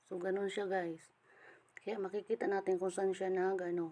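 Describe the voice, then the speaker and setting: A woman speaks with a strong Eastern Visayan accent. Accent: Waray accent, strong. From Samar, Eastern Visayas, Philippines. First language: Waray (speaking Tagalog). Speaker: crypto earning vlogger. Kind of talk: screen-recording tutorial. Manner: disorganized, halting speech.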